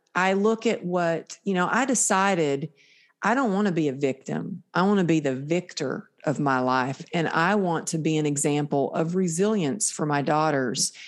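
A woman's normal speaking voice, fairly low in pitch, with an American accent, lively intonation, very even loudness and a moderate pace. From Texas, small town. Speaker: motivational speaker and author. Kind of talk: casual interview.

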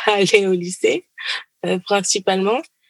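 In a dry, close sound with no echo, a woman talks at a medium pitch in an ordinary speaking voice. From Paris suburbs, France. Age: 20s. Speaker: doctoral student. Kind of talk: interview.

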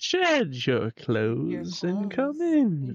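This is a put-on character voice. It sits at a middle pitch. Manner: unsettling, inviting.

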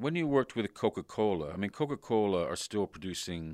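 A man has an unremarkable speaking voice, fairly low in pitch, with lively intonation. The very clean recording has a silent background and a dry, close sound with no echo. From Canada. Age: 50s. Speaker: podcast host. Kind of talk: interview. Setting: in person.

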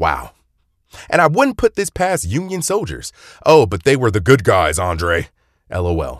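In an American accent, a man with a medium-pitched voice and vocal fry talks in an animated tone at a fairly slow pace, with very wide pitch swings and long, frequent pauses, in a dry, close recording with no echo over a quiet background. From North Carolina. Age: 20s. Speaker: history podcaster. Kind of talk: scripted narration.

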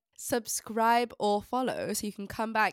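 In a very clean recording with a silent background and a dry, close sound with no echo, a woman speaks in a plain, everyday voice at a fairly high pitch, with fairly even intonation and a moderate pace. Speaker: podcast co-host, history student. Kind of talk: casual chat; scripted show outro.

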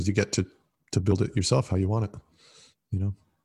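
A man speaks in a dark, mellow, somewhat breathy voice pitched fairly low. The background is quiet. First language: Italian. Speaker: former monk. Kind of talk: casual interview. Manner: hesitant, many fillers.

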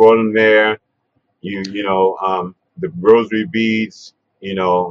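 Speaking at a fairly slow pace, a man with a New York accent has a fairly low-pitched voice. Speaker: interviewer, hip-hop pioneer. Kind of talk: casual interview. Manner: halting, many fillers.

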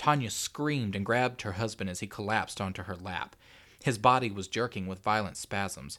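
Ordinary pitch variation marks this delivery in a natural reading voice.

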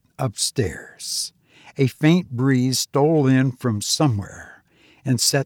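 Reading in a natural voice

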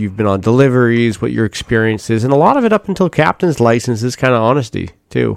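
A man with a normal speaking voice talks at a fairly quick pace and medium pitch, the sound dry and close with no echo. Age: 30s. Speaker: yacht broker. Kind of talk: casual chat.

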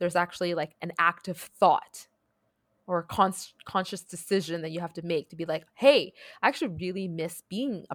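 Dry and close with no echo, a woman speaks in a plain, everyday voice at a fairly low pitch. Her pace is moderate and her pitch varies in an ordinary way. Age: 30s. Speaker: podcast co-host. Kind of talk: casual chat. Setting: remote recording across time zones.

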